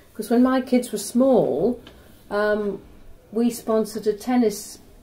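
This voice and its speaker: A woman with a Norfolk accent speaks at a moderate pace in a dark, mellow tone. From Norwich, Norfolk, England. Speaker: retired university secretary. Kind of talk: oral history interview.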